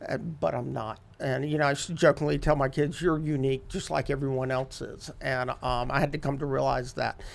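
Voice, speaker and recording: A man with an unremarkable speaking voice talks at a fairly quick pace. His pitch is fairly high and his intonation fairly even. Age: 50s. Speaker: addiction recovery outreach director. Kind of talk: testimony interview.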